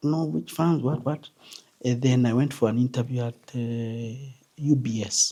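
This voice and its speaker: The man's tone is dark and mellow, his pitch medium with ordinary variation. He speaks at a fairly slow pace. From Kenya (Meru). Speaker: finance executive. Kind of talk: interview. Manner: halting, many repetitions.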